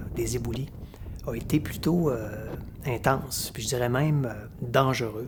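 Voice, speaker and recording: A man with a Quebec accent, fairly even intonation and audible room echo. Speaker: hiker filming his trip. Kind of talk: casual narration. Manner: hesitant, many filler words.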